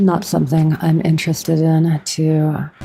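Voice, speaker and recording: A woman speaks very slowly in a fairly low voice. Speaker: vtuber streamer. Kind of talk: casual livestream chat while gaming. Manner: monotone; halting.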